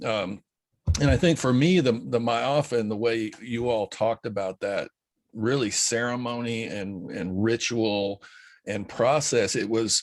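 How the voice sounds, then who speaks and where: This speaker takes a fairly slow pace. The pitch moves in an ordinary way. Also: man, medium pitch for a man, quiet background. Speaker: podcast host. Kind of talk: interview questions. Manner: casual, hesitant.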